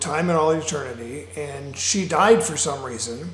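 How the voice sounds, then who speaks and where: Fairly high male speech with audible room echo and noticeable background noise. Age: 60s. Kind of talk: personal monologue. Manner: halting, many fillers.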